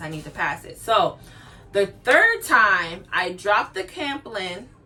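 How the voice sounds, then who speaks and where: A woman with a medium pitch is heard over noticeable background noise. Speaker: nursing graduate vlogger. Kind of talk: casual vlog talk.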